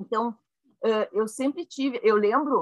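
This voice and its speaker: A woman's fairly high voice in a southern Brazilian accent, with lively intonation and a dry, close sound with no echo. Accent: gaúcho Brazilian Portuguese. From Rio Grande do Sul, Brazil (Caxias do Sul). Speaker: laughter yoga leader. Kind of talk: casual chat.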